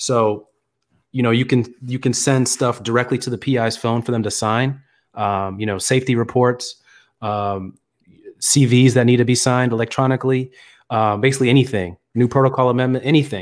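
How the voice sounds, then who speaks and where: A man with an ordinary speaking voice talks at a medium pitch and a fairly quick pace, with fairly even intonation. The recording is very clean, with a silent background. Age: 20s. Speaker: clinical research associate. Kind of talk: live-streamed casual Q&A chat.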